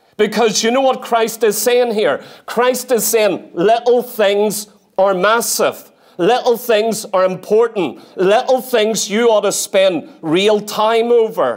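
Against a quiet background, a man talks at a very slow pace in a high voice, his loudness very even and his intonation fairly even. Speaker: preacher. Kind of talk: sermon. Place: church. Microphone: lapel.

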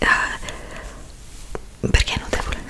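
A whispering woman. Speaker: ASMR roleplay host. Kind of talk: ASMR roleplay. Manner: whispered, soft-spoken. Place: home room. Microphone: studio mic.

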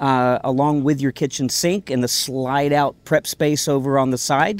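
A man talking at a fairly slow pace. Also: dry sound with no echo. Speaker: trade show vendor. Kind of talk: product demo sales pitch. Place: open country.

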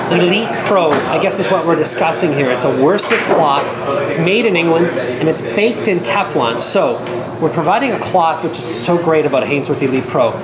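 Loud background noise fills the clip. Over it, a man speaks at a moderate pace. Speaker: video host and pool equipment seller. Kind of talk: product review interview. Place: hall.

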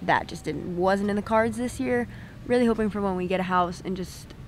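At a fairly quick pace, a woman talks with ordinary pitch variation over light background noise, the sound dry with no echo. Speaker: vlogger. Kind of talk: casual vlog chat. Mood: relaxed, reflective. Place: beach. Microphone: phone near.

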